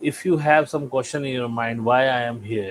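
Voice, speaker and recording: Speech comes at a moderate pace in an Indian accent. The intonation stays fairly even. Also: man. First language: Hindi. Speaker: spiritual channel host. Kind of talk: spiritual talk. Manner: halting.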